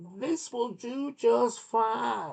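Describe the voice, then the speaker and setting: The pitch sits fairly high in this put-on character voice. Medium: read story.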